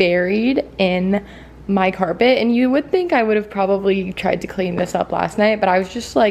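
A woman speaks at a medium pitch with a slightly mellow tone and vocal fry. Faint background noise sits underneath. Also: ordinary pitch variation, moderate pace.

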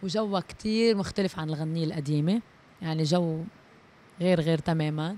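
There is light noise in the background. A woman talks in a dry sound with no echo. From Lebanon. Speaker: singer; interviewee. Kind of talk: interview. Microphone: handheld.

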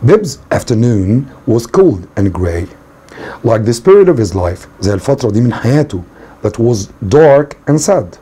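Speaking at a moderate pace, a man with an Egyptian accent uses lively intonation. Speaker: English teacher. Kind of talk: lecture. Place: home room.

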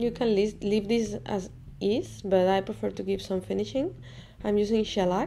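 A woman speaks with music in the background. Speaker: enamel artist. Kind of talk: craft tutorial narration.

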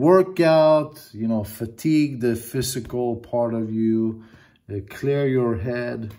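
A man's dark, mellow voice at a very slow pace, with ordinary pitch variation over a quiet background. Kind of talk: casual vlog chat. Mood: reflective, grateful. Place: home room. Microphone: phone near.

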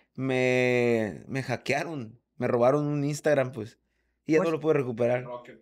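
Over a quiet background, a man talks at a fairly slow pace with fairly even intonation. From Mexico, Sonora (Hermosillo); Sonora. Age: 40s. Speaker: drummer; podcast guest. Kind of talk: casual chat. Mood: relaxed, casual. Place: home room. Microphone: studio mic.

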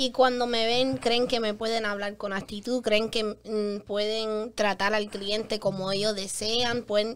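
At a fairly slow pace with hardly any pauses, a woman speaks at a fairly high pitch in a monotone, flat intonation. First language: English (speaking Spanish). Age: 20s. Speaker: public adjuster; guest. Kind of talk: interview. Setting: studio. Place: studio. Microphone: studio mic.

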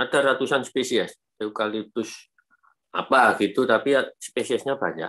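Against a quiet background, a man with a bright, sharp tone talks at a moderate pace. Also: fairly even intonation. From Indonesia. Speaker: biology lecturer. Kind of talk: webinar lecture. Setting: video call. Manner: casual. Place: home room. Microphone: video call.

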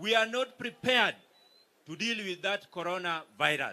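A man speaks with a Kenyan accent in a raised, projected voice with a bright, sharp tone. His pace is moderate and his pitch varies in an ordinary way. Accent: Kenyan (Luo) English. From Kenya, Migori. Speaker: politician, county governor; politician. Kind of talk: political speech at a rally. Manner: formal. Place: stage. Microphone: handheld.

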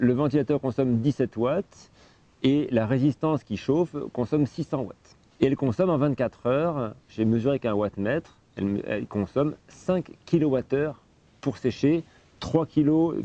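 Speaking very slowly with ordinary pitch variation, a man's voice comes through dry, with no echo. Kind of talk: tutorial. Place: street.

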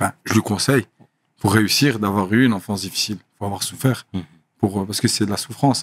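Fairly low-pitched man at a moderate pace, fairly even intonation, dry sound with no echo. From Brussels, Belgium. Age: 30s. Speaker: professional boxer; podcast guest. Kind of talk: casual interview. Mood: calm, reflective. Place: studio. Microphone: studio mic.

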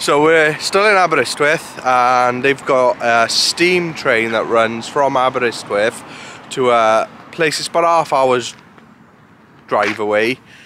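Light background noise sits under a man speaking at a very slow pace with ordinary pitch variation, the sound dry with no echo. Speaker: travel vlogger. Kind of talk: casual vlog chat. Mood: cheerful, upbeat. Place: street. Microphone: phone near.

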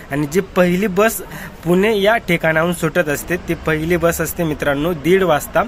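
Music plays in the background. Over it, a man speaks at a high pitch. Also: dry sound with no echo. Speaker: travel vlogger. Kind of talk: casual vlog commentary. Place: station. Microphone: phone near.

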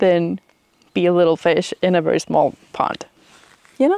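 A woman with a Swedish accent talks at a fairly slow pace and medium pitch, with ordinary pitch variation and a dry, close sound with no echo. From Sweden. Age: 30s. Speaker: book reviewer. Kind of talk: casual talk to camera. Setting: outdoors. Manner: hesitant, rambling.

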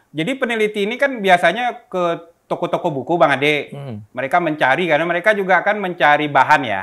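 Delivered at a very fast pace with hardly any pauses, the speech has lively intonation over a quiet background. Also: man, high pitch for a man. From Jakarta, Indonesia (Senen, Central Jakarta); Indonesia. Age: young. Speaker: activist and museum founder. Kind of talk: interview. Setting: at his museum. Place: home room.

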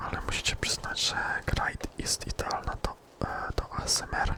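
A man whispers at a fairly slow pace. Noticeable background noise runs underneath. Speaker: ASMR gaming creator. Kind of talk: whispered gameplay commentary. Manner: whispered.

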